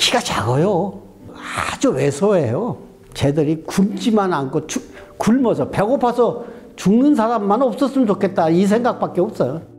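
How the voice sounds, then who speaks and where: A high-voiced man speaks with very wide pitch swings and very even loudness amid noticeable background noise. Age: 70s. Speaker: businessman, charity founder. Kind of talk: testimony. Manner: conversational, informal speech.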